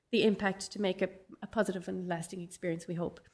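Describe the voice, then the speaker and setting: A woman with a Dublin accent talks at a fairly quick pace with ordinary pitch variation. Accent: Dublin Irish English. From Ireland, Dublin. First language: Irish. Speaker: professor. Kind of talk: conference keynote.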